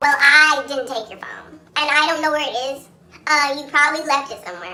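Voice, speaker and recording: At a fairly quick pace, a female-sounding voice puts on a character voice pitched high. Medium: solo performance. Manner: sassy, blunt.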